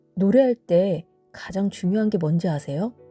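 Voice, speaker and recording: A woman at medium pitch with a calm tone, fairly slow pace and ordinary pitch variation, in a dry, close sound with no echo and music in the background. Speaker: vocal therapist and singer. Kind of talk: sleep-time audio essay reading. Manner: soft-spoken, calm.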